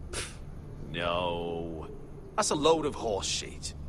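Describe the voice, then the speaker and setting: Over loud background noise, a man in a put-on character voice speaks at a fairly slow pace with a very deep, low pitch. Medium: video game. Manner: direct, commanding.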